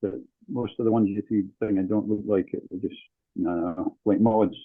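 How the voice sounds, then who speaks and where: The speaker is a man with a northern English accent. He talks at a moderate pace. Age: 60s. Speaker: dance teacher. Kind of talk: casual chat.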